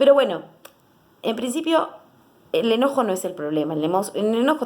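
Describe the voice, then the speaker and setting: A woman speaks with lively intonation. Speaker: psychologist. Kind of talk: educational talk to camera. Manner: fast; animated.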